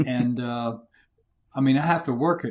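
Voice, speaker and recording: With a Southern US accent, the speaker goes at a fairly slow pace with ordinary pitch variation. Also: man. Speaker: leadership coach and war veteran. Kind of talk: interview. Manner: loud.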